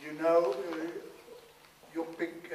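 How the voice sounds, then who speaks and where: Speaking in a southern Swedish accent, a man with a high pitch keeps a monotone, flat intonation. Audible room echo and noticeable background noise come through. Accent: Swedish (Scanian) accent in English. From Sweden, Scania. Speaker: former arts administrator. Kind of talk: workshop talk. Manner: halting.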